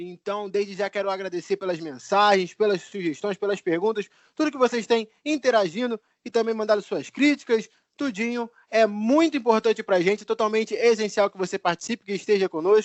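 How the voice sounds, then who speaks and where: A man with a high pitch speaks in a Rio de Janeiro accent. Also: ordinary pitch variation, fairly quick pace. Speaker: sports podcast host. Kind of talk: casual podcast chat.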